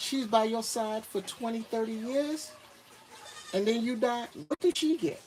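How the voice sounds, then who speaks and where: A man speaks with a high pitch and lively intonation. Noticeable background noise runs behind him. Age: 50s. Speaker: retired expat vlogger. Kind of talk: livestream Q&A. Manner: casual, conversational.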